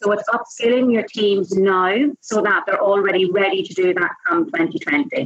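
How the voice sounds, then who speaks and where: A woman's medium-pitched voice in a Northern Irish accent. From Northern Ireland, Enniskillen. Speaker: sales trainer and speaker. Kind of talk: interview. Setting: at a conference.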